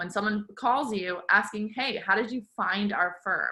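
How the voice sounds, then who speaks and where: With a quiet background, a woman talks at a moderate pace in a bright, sharp tone with ordinary pitch variation. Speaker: legal marketing presenter; webinar presenter. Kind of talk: webinar presentation.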